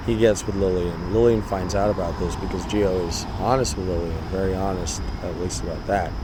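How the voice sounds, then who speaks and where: A man's voice, with ordinary pitch variation and a moderate speed, comes through audible room echo and noticeable background noise. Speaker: vlogger telling a personal story. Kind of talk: casual storytelling monologue. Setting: outdoors in a park.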